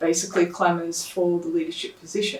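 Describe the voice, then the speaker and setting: A woman with a fairly low pitch and ordinary pitch variation is heard with audible room echo and noticeable background noise. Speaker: lay preacher. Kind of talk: sermon. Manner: soft-spoken.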